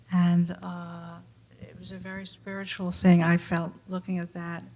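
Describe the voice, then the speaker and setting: At a moderate pace, the speaker talks with an American accent in an unremarkable speaking voice. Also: woman. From New York, Brooklyn. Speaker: artist. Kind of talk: panel discussion.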